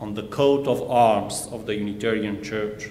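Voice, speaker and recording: At a very slow pace, a man speaks against noticeable background noise. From Transylvania, Romania (Hungarian Székely). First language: Hungarian. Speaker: minister and church history professor. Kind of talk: sermon. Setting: church. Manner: formal.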